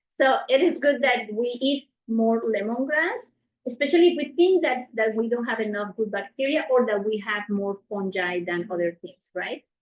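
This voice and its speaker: Talking with hardly any pauses, a woman with a strong non-native accent uses lively intonation at a fairly high pitch. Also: moderate pace. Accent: strong foreign. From South America. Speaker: nutrition cooking instructor. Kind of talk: cooking class. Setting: class with live audience.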